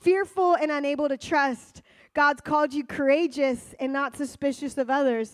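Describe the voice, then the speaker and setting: With an animated tone, a woman speaks at a high pitch and a moderate pace, using ordinary pitch variation. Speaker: preaching teacher. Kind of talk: sermon or teaching to live audience. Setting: stage with audience.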